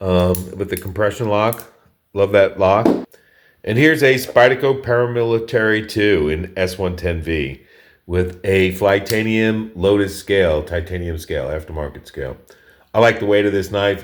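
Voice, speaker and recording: Speaking at a moderate pace, a man uses a fairly low pitch with ordinary variation. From New York. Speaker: knife collector, video creator. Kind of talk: casual show-and-tell. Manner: casual, with fillers and restarts.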